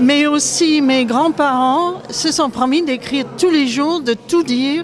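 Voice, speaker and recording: At a very slow pace and with very even loudness, a woman speaks at a high pitch over noticeable background noise. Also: fairly even intonation. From Scotland. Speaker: author and viol player. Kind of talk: public speech at exhibition opening. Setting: museum event with audience. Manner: halting.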